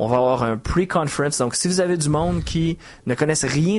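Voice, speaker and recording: With a strong Quebec accent, a man speaks at a moderate pace, his fairly high pitch showing ordinary variation. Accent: Quebec French, still strong. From Quebec, Montreal. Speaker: software architect and trainer. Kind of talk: podcast interview.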